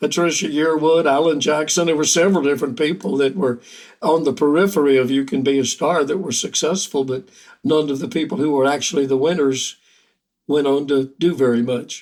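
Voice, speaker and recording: In a Southern US accent, the words come out at a fairly quick rate. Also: man, fairly high pitch for a man, ordinary pitch variation. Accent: Southern American. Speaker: country songwriter and singer. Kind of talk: interview answer. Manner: soft-spoken.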